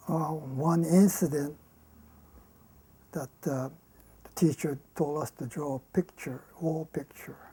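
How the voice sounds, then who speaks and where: A woman speaks very slowly with long, frequent pauses, her pitch very deep and low. Her voice is somewhat breathy, with a dark, mellow tone and fairly even intonation. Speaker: war survivor interviewee. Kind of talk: testimony. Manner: halting.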